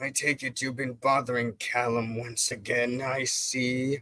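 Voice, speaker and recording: Putting on a character voice, a man speaks at a moderate pace and medium pitch with monotone, flat intonation. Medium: game stream. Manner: formal, smug.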